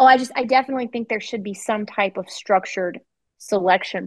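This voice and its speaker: A woman with an American accent talks at a fairly quick pace in an unremarkable speaking voice, with fairly even intonation. The sound is dry and close with no echo, over a quiet background. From Virginia. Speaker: 911 dispatcher and training officer. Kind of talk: interview, casual chat.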